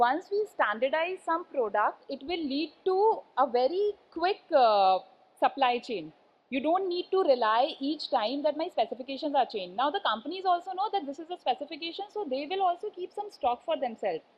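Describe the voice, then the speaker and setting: A woman with an Indian accent, a high pitch, very wide pitch swings and a moderate pace. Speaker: conference speaker, composites industry. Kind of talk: conference talk. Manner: hesitant, many fillers.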